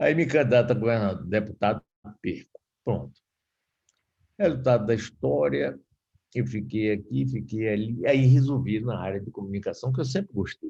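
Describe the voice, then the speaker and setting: Long, frequent pauses break up a man's fairly low, dark and mellow voice, which has vocal fry, very wide pitch swings and big swings in loudness. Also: moderate pace. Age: 70s. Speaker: radio broadcaster and former politician. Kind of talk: lecture. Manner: casual.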